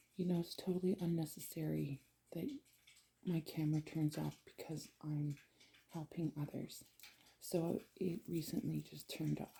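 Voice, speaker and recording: A woman speaks quietly at a moderate pace, leaving long, frequent pauses. Her very deep, low voice is somewhat breathy and dark and mellow, with ordinary pitch variation. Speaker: tarot reader. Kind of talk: tarot reading. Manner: quiet, low voice.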